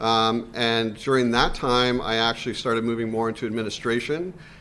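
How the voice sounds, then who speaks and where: Here is a man with a Canadian accent and a bright, sharp tone. He speaks at medium pitch with monotone, flat intonation. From Canada. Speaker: university administrator, scientist. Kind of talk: career panel talk.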